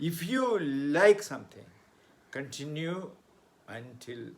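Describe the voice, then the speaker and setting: A man speaks at a fairly high pitch. Noticeable background noise is audible behind him. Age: 70s. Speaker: motivational speaker and author. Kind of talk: motivational talk.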